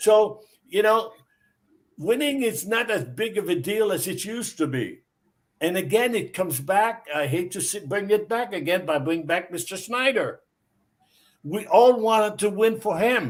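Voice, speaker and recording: Lively intonation from a man with a high-pitched voice, at a moderate pace. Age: 70s. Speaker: former hockey player. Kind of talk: casual chat.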